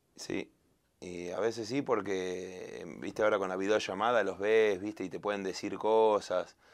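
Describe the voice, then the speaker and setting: In a Rioplatense accent, a man speaks at a fairly slow pace with fairly even intonation. His pitch is fairly low, and the background is quiet. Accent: Argentine Spanish (rioplatense). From Argentina. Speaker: singer. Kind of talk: interview.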